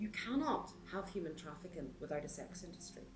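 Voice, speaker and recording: A woman speaks at a medium pitch with very wide pitch swings and a Northern Irish accent, over background music and audible room echo. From Northern Ireland. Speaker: support worker for women in the sex industry. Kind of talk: documentary interview.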